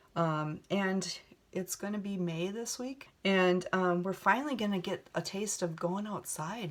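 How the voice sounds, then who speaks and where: A woman speaks with a Minnesota accent at medium pitch. Her pace is fairly slow, with ordinary pitch variation. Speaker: beauty vlogger. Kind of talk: makeup tutorial chat. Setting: home video set. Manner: casual, many fillers.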